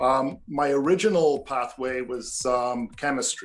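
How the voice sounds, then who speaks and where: Music plays in the background as a man at a medium pitch talks fairly slowly with ordinary pitch variation. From north of England. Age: 60s. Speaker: retired chemist and artist. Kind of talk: interview answer.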